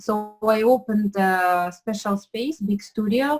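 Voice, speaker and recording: A woman at a medium pitch with a Ukrainian accent, somewhat breathy, with ordinary pitch variation. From Ukraine. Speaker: pastry chef. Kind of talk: interview. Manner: halting, many fillers.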